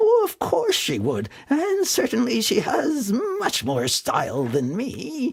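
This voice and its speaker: A man in a put-on character voice speaks with hardly any pauses. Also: fairly slow pace. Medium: read story.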